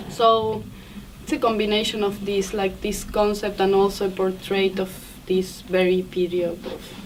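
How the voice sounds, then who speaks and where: In a flat monotone, a woman speaks at medium pitch. Her pace is moderate. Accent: Spanish. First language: Spanish. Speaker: film director. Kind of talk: festival Q&A. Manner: halting.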